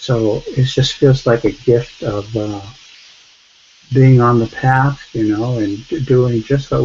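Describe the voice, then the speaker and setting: Through noticeable background noise, a soft-spoken man talks at a medium pitch with monotone, flat intonation. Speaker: study group participant. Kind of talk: spiritual sharing in online group.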